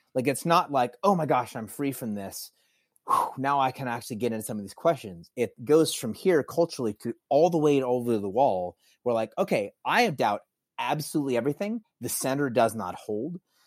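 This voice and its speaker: A man with a plain, everyday voice speaks at a medium pitch and a fairly quick pace with lively intonation. The recording is very clean and dry, close, with a silent background and no echo. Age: 40s. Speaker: author and former musician. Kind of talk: casual chat.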